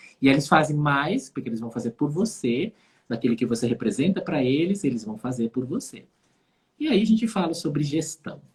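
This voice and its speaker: A somewhat breathy man with a fairly high pitch, lively intonation and a moderate pace. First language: Dutch (speaking Portuguese). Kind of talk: casual conversation on a live stream.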